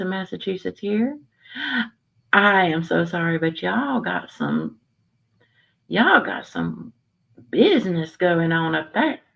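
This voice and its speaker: This woman talks at a fairly slow pace with a fairly low pitch. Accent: Southern. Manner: lively, opinionated.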